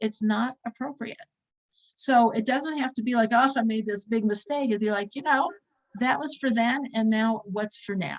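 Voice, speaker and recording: Intonation here is lively. There is a somewhat breathy quality to the voice. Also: woman. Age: 60s. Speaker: religious teacher. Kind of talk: lecture.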